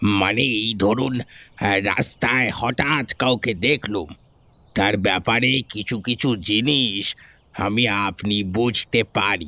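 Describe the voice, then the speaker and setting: Putting on a character voice, a man speaks very slowly at a fairly low pitch with very even loudness, the sound dry and close with no echo. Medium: audio drama. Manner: hesitant, ingratiating, secretive.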